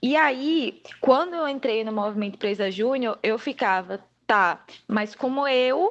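Very slow delivery with lively intonation over a quiet background. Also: woman, high pitch for a woman. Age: 20s. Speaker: public relations student. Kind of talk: casual interview.

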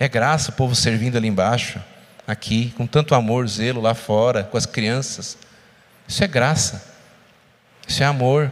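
This man speaks at a moderate pace and a medium pitch, with ordinary pitch variation. He leaves long, frequent pauses. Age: 40s. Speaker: lay preacher and physician. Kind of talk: sermon. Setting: church.

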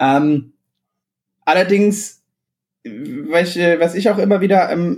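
A man with a high voice speaks at a very slow pace. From Bavarian Swabia, southern Germany (Illertissen). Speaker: podcast co-host. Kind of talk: casual chat. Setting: remote recording. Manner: hesitant, many fillers.

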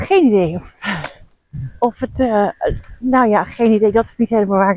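A woman with a plain, everyday voice talks at a fairly quick pace and a fairly high pitch with ordinary pitch variation, recorded dry and close with no echo. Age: 40s. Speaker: podcast host and coach for female leaders. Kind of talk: casual monologue.

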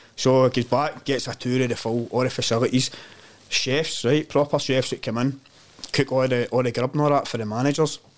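A man with a Glaswegian accent, medium in pitch, at a fairly quick pace. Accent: Glaswegian Scottish. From Glasgow, Scotland (Govan). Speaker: community development worker. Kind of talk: casual chat. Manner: animated storytelling.

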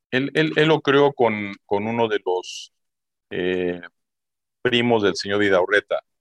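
A man with a medium pitch and lively intonation speaks at a very slow pace, with long, frequent pauses. The sound is dry and close, with no echo. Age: 50s. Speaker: retired telecom worker and businessman. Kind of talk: interview.

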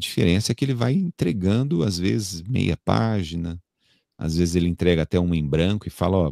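Very deep and low in pitch, a man's voice has a dark, mellow tone and lively intonation at a fairly quick pace, in a very clean recording with a silent background and a dry, close sound with no echo. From Brazil, São Paulo. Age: 40s. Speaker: radio announcer and TV presenter. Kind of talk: casual interview.

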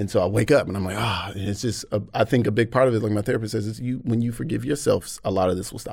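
A man talks at a very fast pace with vocal fry. His pitch is fairly low. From US South, Atlanta. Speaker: comedian. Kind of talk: casual chat. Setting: studio.

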